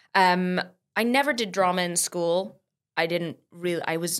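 In an American accent, a woman with an unremarkable speaking voice talks at a moderate pace and a fairly low pitch on a very clean recording with a silent background. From US, San Diego (born in England, moved at five). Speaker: musical theatre performer. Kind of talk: casual chat.

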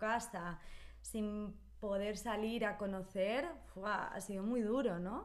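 A woman with a normal speaking voice, medium pitch, and ordinary pitch variation. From Spain, Barcelona. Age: 30s. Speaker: Spanish teacher. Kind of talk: casual chat.

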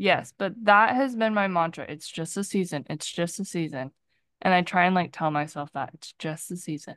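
A woman with an ordinary speaking voice at a fairly low pitch, moderate pace and ordinary pitch variation, with big swings in loudness. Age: 20s. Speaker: podcast co-host. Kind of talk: casual chat.

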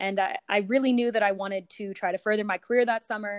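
In an American accent, a woman with a normal speaking voice talks at a fairly quick pace with fairly even intonation, the sound dry and close with no echo. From US West Coast, San Francisco. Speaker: sports communications director. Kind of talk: interview.

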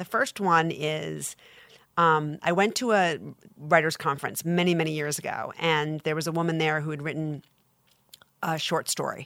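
Long, frequent pauses break up this speech in an American accent. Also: woman, very deep, low pitch for a woman, fairly even intonation, moderate pace, very clean recording, silent background. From Long Island, New York. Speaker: literary agent. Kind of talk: interview.

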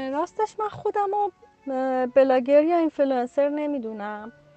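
A woman talks at a moderate pace over a quiet background. The sound is dry and close, with no echo. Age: 30s. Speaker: freelance illustrator. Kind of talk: casual chat. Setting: video call.

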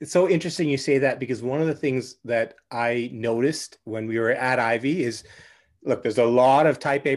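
An unremarkable speaking voice, heard against a quiet background. The pace is fairly quick and the pitch variation ordinary. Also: man. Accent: Canadian. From Canada, Vancouver. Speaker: podcast host and business coach. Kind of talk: casual interview chat.

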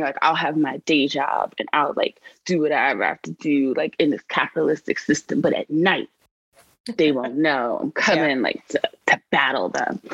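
In a dry, close sound with no echo, a woman with a New York accent speaks at a moderate pace. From New York City, South Bronx. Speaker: civic advocacy organization director. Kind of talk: interview.

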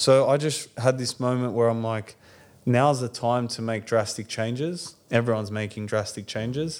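Medium pitch from a man in an Australian accent, with fairly even intonation at a moderate pace. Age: 30s. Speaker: bakery owner. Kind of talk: interview. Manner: casual.

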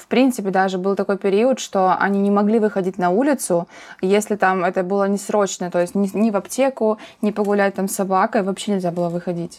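A woman with a medium pitch talks at a fairly quick pace with fairly even intonation in a plain, everyday voice. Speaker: podcast host. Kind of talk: casual chat.

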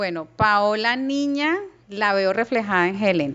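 At a fairly slow pace, an unremarkable speaking voice moves with lively intonation. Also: woman. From Colombia, Cali. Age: 40s. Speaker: businesswoman. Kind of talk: interview.

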